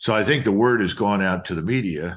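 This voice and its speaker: A man's moderately paced speech shows ordinary pitch variation over a quiet background. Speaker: guest military commentator. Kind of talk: interview answer. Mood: serious, critical. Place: home room. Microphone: video call.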